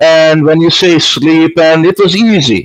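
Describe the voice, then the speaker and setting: A man talks at a fairly slow pace with a Hungarian accent. His pitch is fairly high. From Hungary. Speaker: stage hypnotist. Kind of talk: casual interview.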